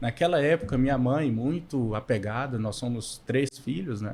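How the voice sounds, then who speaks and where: A man's medium-pitched voice in a Minas Gerais accent, at a moderate pace with ordinary pitch variation. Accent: mineiro accent noticeable. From Minas Gerais, Montes Claros (northern Minas). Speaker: podcast co-host, financial consultant. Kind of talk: casual chat. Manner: halting, many fillers.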